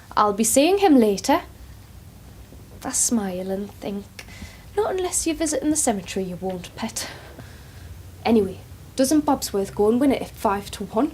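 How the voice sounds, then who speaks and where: A woman speaks at a moderate pace with a fairly high pitch, very wide pitch swings and a warm tone. Her long pauses come often, over noticeable background noise. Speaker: care home worker (carer). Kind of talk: dramatic monologue, casual talk to camera. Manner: chatty, warm, informal.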